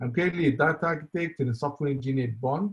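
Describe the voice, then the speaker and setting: A man with an Israeli accent sounds somewhat breathy. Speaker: software engineer, conference speaker. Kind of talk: conference talk. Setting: online conference with live chat. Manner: halting, many fillers.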